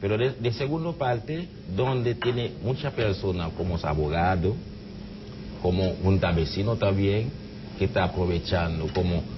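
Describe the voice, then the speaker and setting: A man with a Haitian accent talks at a fairly slow pace and fairly low pitch with ordinary pitch variation, over noticeable background noise. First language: Haitian Creole (speaking Spanish). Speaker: immigrant association president; guest. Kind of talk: TV interview. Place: studio.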